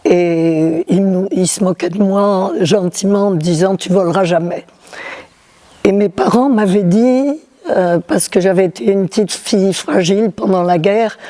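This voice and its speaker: There is noticeable background noise as a woman speaks very slowly at medium pitch with ordinary pitch variation. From southern France, Toulouse. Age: 80s+. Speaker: glider pilot. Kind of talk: interview testimony. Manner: halting.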